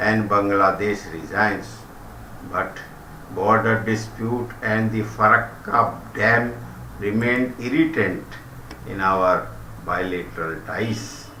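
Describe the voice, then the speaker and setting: In an Indian accent, the speaker goes at a very slow pace with fairly even intonation, against noticeable background noise and audible room echo. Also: man. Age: old. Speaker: retired commentator. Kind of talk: reading aloud. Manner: formal.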